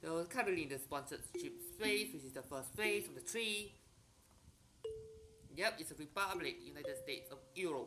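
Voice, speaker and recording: Music in the background, a moderate pace, and long, frequent pauses. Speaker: video game streamer. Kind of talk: gameplay commentary. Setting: live stream. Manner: soft-spoken. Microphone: voice too quiet relative to music.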